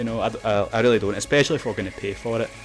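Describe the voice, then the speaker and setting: Music in the background behind a man with a Glaswegian accent, medium-pitched, with fairly even intonation. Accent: Glaswegian Scottish. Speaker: video game YouTuber. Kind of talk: casual talk to camera. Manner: hesitant, lots of filler words.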